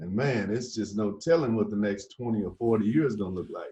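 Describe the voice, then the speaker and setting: Lively intonation runs through this man's speech. He keeps a moderate pace, and his voice has a somewhat breathy quality. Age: 60s. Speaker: podcast host. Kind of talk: casual interview chat.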